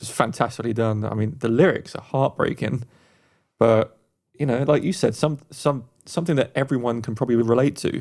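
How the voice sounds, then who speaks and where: With an English accent, a man speaks at a fairly quick pace and medium pitch. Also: ordinary pitch variation. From England. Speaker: podcast host. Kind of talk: casual chat.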